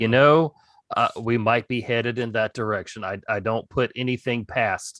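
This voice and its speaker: A man speaks at a moderate pace with ordinary pitch variation. He has an ordinary speaking voice, and the sound is dry and close with no echo. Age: adult. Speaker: podcast host. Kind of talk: podcast interview.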